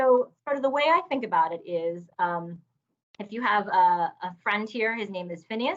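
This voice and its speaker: Her intonation is lively and her pitch medium for a woman. She speaks at a fairly slow pace. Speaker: neuroscience professor. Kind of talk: lecture.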